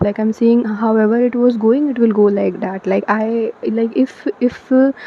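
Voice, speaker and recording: A woman with a non-native accent speaks in a fairly high pitch with fairly even intonation over noticeable background noise. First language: not English. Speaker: tarot reader. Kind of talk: tarot card reading to camera. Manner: hesitant, many fillers.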